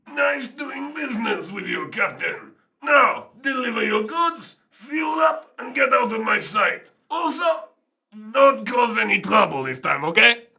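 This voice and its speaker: A man puts on a character voice at an extremely high pitch, speaking at a fairly slow pace. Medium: audio drama.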